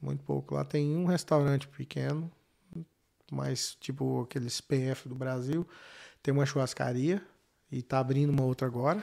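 Pausing often and at length, a man talks at a moderate pace in a medium-pitched voice with a dark, mellow tone and fairly even intonation, on a very clean recording with a silent background. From Brazil, Goiânia. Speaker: businessman and knife maker. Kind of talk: casual interview.

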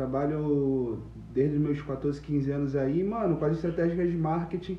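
A man's pitch shifts in a normal way as audible echo from the room surrounds his speech. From Brazil, Nilópolis (Rio de Janeiro area). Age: 20s. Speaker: digital marketer. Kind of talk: casual chat.

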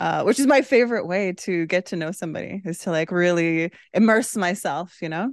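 Over a quiet background, a woman with a plain, everyday voice talks at a fairly quick pace and medium pitch, with lively intonation and hardly any pauses. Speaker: podcast co-host. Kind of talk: casual chat. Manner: laughs often.

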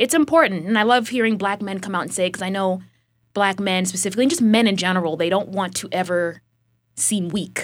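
A woman with an ordinary speaking voice talks fairly quickly at a medium pitch with ordinary variation, in a very clean recording with a silent background. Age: 20s. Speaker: podcast host. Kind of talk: casual chat.

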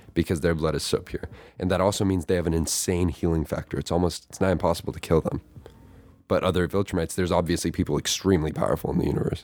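Speaking at a very fast pace, a man uses a very deep, low pitch and a monotone, flat intonation. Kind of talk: casual chat. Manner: soft-spoken.

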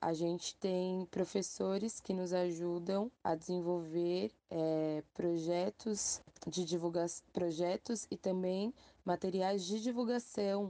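A woman speaks very slowly at a medium pitch with a dark, mellow tone. Her intonation is fairly even, and the sound is dry and close with no echo against a quiet background. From São Paulo, west zone favela. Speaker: community organizer. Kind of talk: recorded voice message.

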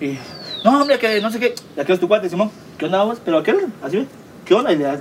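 A man with a Guatemalan accent talks very fast in a high voice, his pitch swinging very widely. Noticeable background noise is present. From Guatemala, Villa Nueva. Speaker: podcast co-host. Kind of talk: casual chat. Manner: animated.

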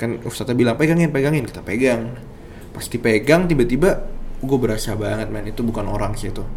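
A man at a fairly quick pace with ordinary pitch variation, audible room echo and noticeable background noise. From East Java, Indonesia. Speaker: storyteller sharing a personal experience. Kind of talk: personal horror story narration. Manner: casual, conversational.

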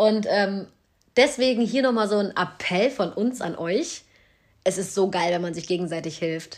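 In an ordinary speaking voice, a woman at medium pitch talks at a fairly slow pace with lively intonation. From Cologne, Germany. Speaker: podcast host and small business owner. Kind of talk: casual chat.

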